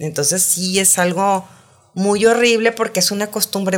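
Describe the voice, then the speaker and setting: A woman with an ordinary speaking voice at medium pitch, at a moderate pace with ordinary pitch variation. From Saltillo, northern Mexico. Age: 50s. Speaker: sex columnist and educator. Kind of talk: casual interview chat. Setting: studio.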